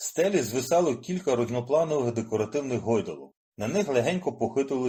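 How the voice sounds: Quiet background beneath a natural reading voice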